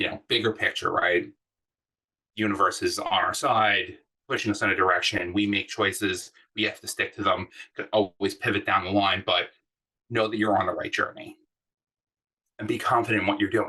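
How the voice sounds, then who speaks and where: The speaker is a man at a moderate pace. He leaves long, frequent pauses. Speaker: design manager. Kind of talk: workshop talk. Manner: loud; animated.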